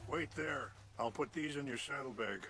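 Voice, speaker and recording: A man's put-on character voice, raspy and medium in pitch, at a moderate pace over clear background noise. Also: ordinary pitch variation. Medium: video game. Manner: polite, earnest.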